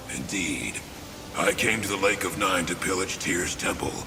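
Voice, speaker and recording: A man puts on a character voice, pitched very deep and low, over loud background noise. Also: moderate pace. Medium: machinima. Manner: wry, rough.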